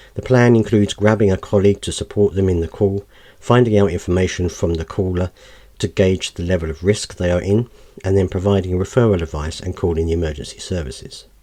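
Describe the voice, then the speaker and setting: A man speaks very fast in a British accent, his pitch very deep and low. The background is quiet. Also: ordinary pitch variation. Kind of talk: reading aloud news article; casual commentary.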